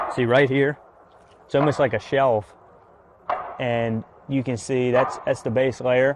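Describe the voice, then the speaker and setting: Over noticeable background noise, a man with an American accent talks at a moderate pace in a medium pitch with fairly even intonation. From Tangier Island, Virginia (Chesapeake Bay). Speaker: photographer, tour guide and island official. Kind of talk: interview, explaining outdoors. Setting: outdoors on a boat.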